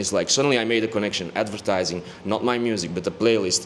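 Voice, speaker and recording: A man talking at a very fast pace, with ordinary pitch variation and noticeable background noise. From Belgium, Antwerp. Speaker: music producer and DJ. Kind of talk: casual interview.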